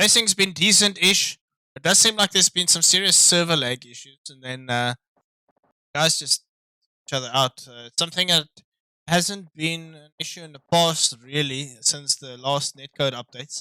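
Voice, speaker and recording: In a non-native accent, a man with a fairly high, bright, sharp voice speaks at a moderate pace with ordinary pitch variation and big swings in loudness, on a dry, close recording with no echo. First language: not English. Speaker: sim racing commentator. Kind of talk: live commentary. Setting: live stream. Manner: casual, hesitant with fillers.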